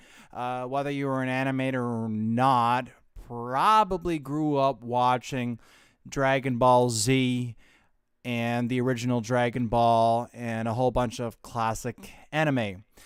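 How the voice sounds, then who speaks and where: A man with a plain, everyday voice speaks at a medium pitch with fairly even intonation. The recording is very clean, with a silent background. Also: fairly slow pace. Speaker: live streamer and voice actor. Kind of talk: casual live stream talk to camera. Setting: home studio with audio interface and headphones.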